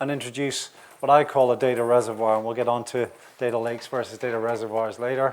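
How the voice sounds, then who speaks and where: In a Northern Irish accent, a man at medium pitch talks very fast with a monotone, flat intonation. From Northern Ireland. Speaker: industry analyst. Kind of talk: conference talk. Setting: conference session with audience. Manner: hesitant, many fillers.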